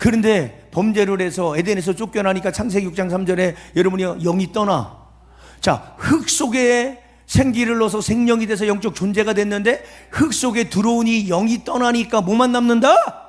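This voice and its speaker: Animated in tone, a man speaks at a high pitch with ordinary pitch variation. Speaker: pastor. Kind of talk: sermon. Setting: revival meeting at prayer retreat with audience. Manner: fast; animated, emphatic.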